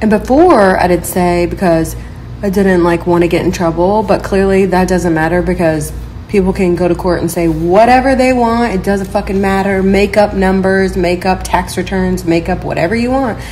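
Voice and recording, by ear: The speaker talks at a moderate pace with few pauses and ordinary pitch variation over clear background noise. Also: woman, fairly low pitch for a woman.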